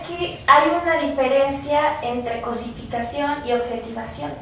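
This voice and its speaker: Against noticeable background noise and audible room echo, a woman with a high pitch speaks at a fairly slow pace, her loudness swinging widely. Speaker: student researcher. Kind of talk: radio interview.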